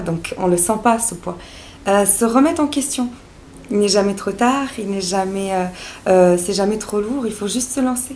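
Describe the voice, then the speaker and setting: With a Serbo-Croatian accent and a medium pitch, a woman speaks at a fairly slow pace with ordinary pitch variation, amid noticeable background noise and audible room echo. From Bosnia (Sarajevo). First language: Serbo-Croatian (speaking French). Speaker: naturopath and life coach. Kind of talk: vlog monologue. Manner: hesitant, many fillers.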